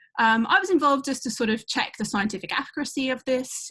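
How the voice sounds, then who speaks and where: A British accent at a fairly quick pace, with lively intonation and a quiet background. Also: woman. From UK. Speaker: astronomy professor. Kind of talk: educational talk. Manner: hesitant, many fillers.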